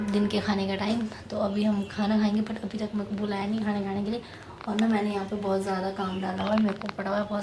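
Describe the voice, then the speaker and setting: A woman is heard over noticeable background noise. Audible room echo colors the recording. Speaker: vlogger. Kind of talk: casual vlog talk.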